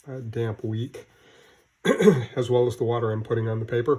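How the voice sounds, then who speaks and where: A somewhat breathy man's voice at a medium pitch, monotone and flat in intonation. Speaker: painting instructor. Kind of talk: tutorial. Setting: garage. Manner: hesitant with fillers.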